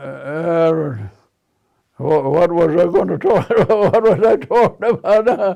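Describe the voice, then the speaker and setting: At a very slow pace, a man with an American accent speaks at a high pitch with lively intonation and very even loudness. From Nebraska, US Midwest. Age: 80s+. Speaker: war veteran. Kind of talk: interview. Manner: halting.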